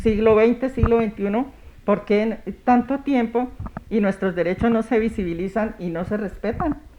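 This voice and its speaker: A woman talks in a fairly high voice while noticeable background noise carries on. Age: 60s. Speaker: women's rights councillor. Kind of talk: TV interview.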